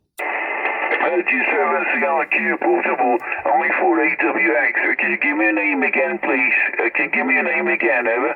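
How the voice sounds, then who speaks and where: A man keeps his loudness very even at a moderate pace, with noticeable background noise present. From Italy, schooled in North London. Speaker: amateur radio operator. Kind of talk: ham radio contact. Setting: shortwave radio link.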